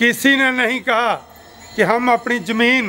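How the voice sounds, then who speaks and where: With a Punjabi accent, a man speaks in a raised, projected voice at an extremely high pitch, his intonation fairly even, with noticeable background noise behind him. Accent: Punjabi-accented Hindi. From Punjab, India. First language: Punjabi (speaking Hindi). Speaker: farmers' union leader. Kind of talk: political speech at rally.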